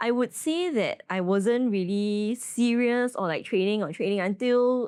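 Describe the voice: A woman's medium-pitched voice, lively in intonation, slightly mellow, clear and smooth in tone, at a fairly slow pace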